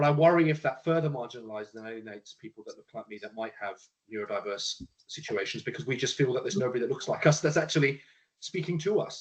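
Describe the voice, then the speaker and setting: A man talks at a very fast pace in a fairly high, somewhat breathy voice, his intonation lively and his loudness swinging widely. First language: Punjabi. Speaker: panelist sharing lived experience of neurodiversity. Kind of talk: panel discussion.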